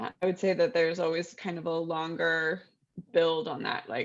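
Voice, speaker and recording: At a moderate pace, a woman speaks in a fairly low voice with an American accent. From Texas. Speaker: novelist. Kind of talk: casual interview chat.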